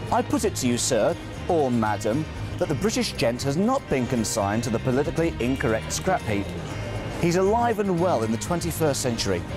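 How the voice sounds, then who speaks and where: Over music in the background, a man speaks at a very even loudness. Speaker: television presenter. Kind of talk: presenter voiceover narration.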